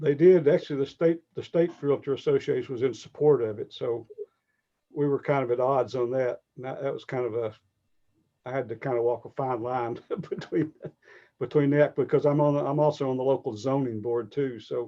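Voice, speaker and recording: With a Southern accent, a man with a fairly high voice talks at a fairly quick pace and fairly even intonation. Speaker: realtor. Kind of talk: webinar interview.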